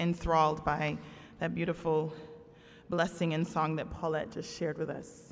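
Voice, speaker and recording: The speaker is a woman with a fairly low pitch. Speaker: guest preacher and campus chaplain. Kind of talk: sermon. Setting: church pulpit with congregation. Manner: animated, call-and-response preaching; loud, emphatic, with warm humor.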